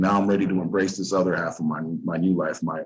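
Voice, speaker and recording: Very deep and low in pitch, a man speaks with an American accent at a fairly quick pace, his intonation monotone and flat. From Oceanside, California (San Diego County). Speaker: former prisoner. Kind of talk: interview.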